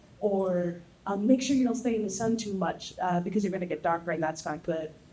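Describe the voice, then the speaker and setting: Speech at a very fast pace with ordinary pitch variation plays over noticeable background noise. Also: woman. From Texas. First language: Spanish. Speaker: panelist. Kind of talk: panel discussion.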